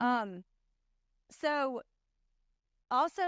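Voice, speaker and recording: A woman's voice in a dry, close sound with no echo. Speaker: insurance sales trainer. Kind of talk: conference talk. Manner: fast.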